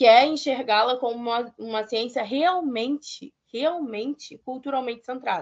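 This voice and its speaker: The woman's voice is high, and its pitch varies in an ordinary way. She talks fairly slowly. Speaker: museum science educator. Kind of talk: lecture.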